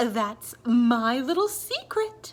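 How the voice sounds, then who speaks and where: A woman does a put-on character voice, pitched high and swinging very widely up and down. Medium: read story.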